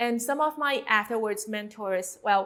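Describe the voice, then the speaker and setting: Speaking with a Chinese accent, a woman talks at a fairly slow pace with ordinary pitch variation. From China. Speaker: tattoo artist and mentor. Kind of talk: course introduction. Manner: some hesitations with um.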